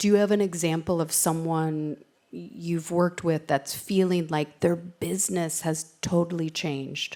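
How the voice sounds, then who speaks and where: A woman's fairly low, dark and mellow voice in a New York accent, fairly slow and fairly even in intonation. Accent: New York American. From US, New York. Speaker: panel moderator. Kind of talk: panel discussion.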